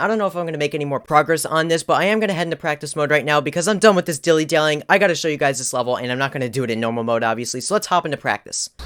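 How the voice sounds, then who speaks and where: Delivered at a very fast pace with an animated tone and ordinary pitch variation, the voice has a dry, close sound with no echo. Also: man. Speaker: gaming YouTuber. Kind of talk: gameplay commentary. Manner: stuttering, halting.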